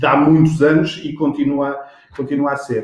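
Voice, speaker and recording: Over noticeable background noise and audible room echo, a man speaks in a fairly high pitch. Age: 40s. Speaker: sales executive. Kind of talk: interview. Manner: halting.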